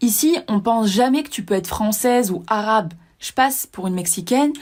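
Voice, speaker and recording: A woman talks at a fairly quick pace with a fairly high pitch and a somewhat breathy voice. Her intonation is lively. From southern France. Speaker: personal development podcaster. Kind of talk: casual monologue.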